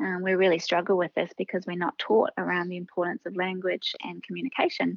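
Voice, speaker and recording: A woman with a New Zealand accent speaks at a fairly quick pace. Her voice sits at medium pitch with fairly even intonation. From New Zealand, Oamaru. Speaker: speaker and trainer. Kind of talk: interview. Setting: phone call.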